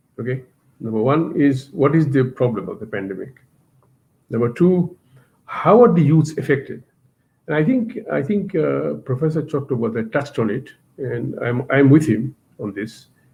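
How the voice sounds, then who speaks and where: This man's voice sits at a fairly high pitch, with vocal fry and lively intonation. He moves at a moderate pace, leaving long, frequent pauses. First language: not English. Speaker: university teacher, webinar speaker. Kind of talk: webinar presentation. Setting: online webinar. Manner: hesitant, with fillers.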